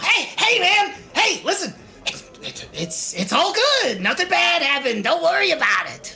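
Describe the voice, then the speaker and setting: An extremely high-pitched, put-on character voice speaks at a moderate pace. Clear background noise sits behind it. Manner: placating, nervous.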